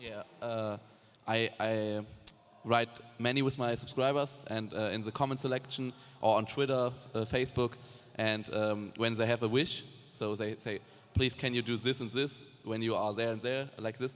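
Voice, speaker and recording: With a German accent, a man talks at a moderate pace and a medium pitch. His intonation is monotone and flat, broken by long, frequent pauses. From Germany, Cologne. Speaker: YouTube gaming creator and vlogger. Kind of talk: panel discussion. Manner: halting, many fillers.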